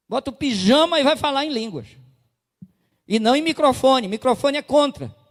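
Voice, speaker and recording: A man with an extremely high pitch speaks with long, frequent pauses. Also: ordinary pitch variation, moderate pace, dry, close sound with no echo. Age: 60s. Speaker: pastor. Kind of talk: sermon.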